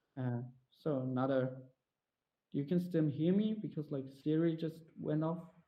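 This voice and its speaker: A man with a German accent, fairly slow pace, ordinary pitch variation, long, frequent pauses, and audible room echo. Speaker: motion designer presenting a talk. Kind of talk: Q&A after a conference talk. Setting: virtual VR conference, online. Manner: halting, many fillers.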